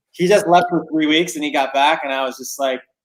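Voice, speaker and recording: A man speaks with fairly even intonation. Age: 30s. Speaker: art company co-founder. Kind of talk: casual podcast interview. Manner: loud; high energy.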